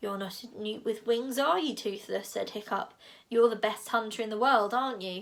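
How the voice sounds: The speaker uses a natural reading voice.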